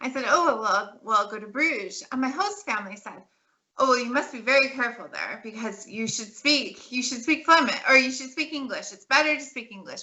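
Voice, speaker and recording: Speaking at a fairly quick pace with an American accent, a woman uses a high pitch and lively intonation. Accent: American accent, noticeable. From California. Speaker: political scientist. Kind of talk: interview. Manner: halting, many restarts.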